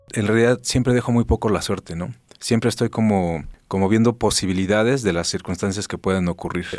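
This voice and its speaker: Fairly quick and fairly low-pitched, a man talks in an ordinary speaking voice with fairly even intonation. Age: 40s. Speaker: film journalist and TV presenter. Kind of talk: casual interview conversation.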